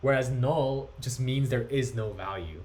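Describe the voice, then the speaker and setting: Audible room echo surrounds a man's somewhat breathy, medium-pitched voice as he talks at a moderate pace. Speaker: coding instructor. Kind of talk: lecture.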